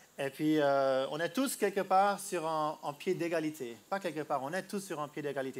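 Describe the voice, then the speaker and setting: A man's fairly high-pitched voice at a moderate pace, with hardly any pauses. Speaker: street preacher. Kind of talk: sermon. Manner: halting.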